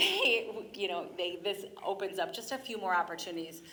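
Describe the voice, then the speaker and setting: Fairly quick speech from a woman amid audible room echo. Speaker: school district representative. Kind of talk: public presentation at council meeting. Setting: city council meeting chamber. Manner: fast.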